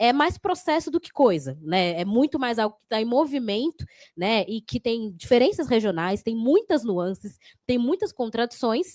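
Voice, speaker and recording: The speaker's pitch swings very widely at a moderate pace, with a dry, close sound with no echo on a very clean recording against a silent background. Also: woman. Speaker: city councillor and psychologist. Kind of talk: panel talk.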